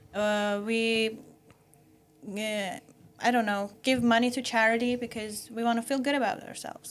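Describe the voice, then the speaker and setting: With music in the background, the speaker uses a non-native accent, a moderate pace and fairly even intonation. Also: woman. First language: not English. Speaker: podcast panelist. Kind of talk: panel discussion. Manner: halting, many fillers.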